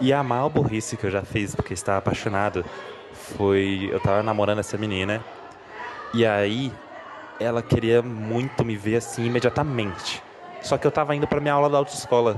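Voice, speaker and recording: Against noticeable background noise, a man at medium pitch talks at a fairly quick pace with ordinary pitch variation and long, frequent pauses. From Brasília, Brazil. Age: 20s. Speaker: listener sending a story. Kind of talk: casual personal anecdote. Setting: recorded voice message.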